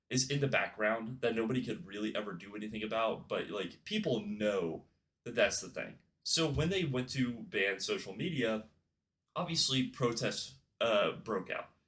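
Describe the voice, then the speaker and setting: Bright, sharp tone from a man at a medium pitch. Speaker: YouTube commentary creator. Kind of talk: casual commentary video. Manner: casual, with filler words and stumbles.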